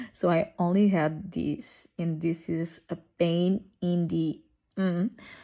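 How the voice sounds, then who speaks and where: A woman's voice with a Portuguese accent. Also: very clean recording, silent background. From Portugal. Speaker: nail artist. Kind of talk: tutorial. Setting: at home. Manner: casual, chatty.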